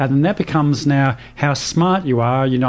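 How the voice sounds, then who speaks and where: A man speaks with an Australian accent. Noticeable background noise runs behind him. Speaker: radio host. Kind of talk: radio talk show. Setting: studio.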